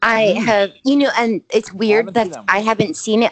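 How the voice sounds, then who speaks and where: A woman with an American accent speaks in a plain, everyday voice at a fairly quick pace. Her pitch varies in an ordinary way, and the sound is dry and close with no echo. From Indiana. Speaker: horror podcast host. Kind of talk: casual chat.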